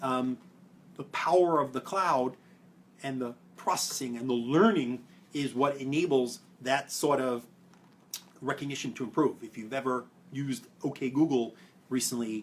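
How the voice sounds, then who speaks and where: A man speaks in a Brooklyn accent at a medium pitch. His pitch varies in an ordinary way, and he leaves long, frequent pauses. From New York (Brooklyn). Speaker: privacy policy expert. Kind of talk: explainer video. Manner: fast.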